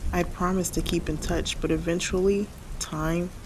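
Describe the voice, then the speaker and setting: Soft-spoken and with vocal fry, this woman talks at a moderate pace in a fairly low pitch, her intonation monotone and flat. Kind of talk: spoken word sleep reading.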